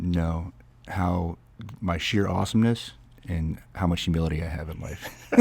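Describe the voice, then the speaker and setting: A man speaks at a moderate pace in a very deep, low pitch with fairly even intonation. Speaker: army sergeant major and podcast co-host. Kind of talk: casual chat.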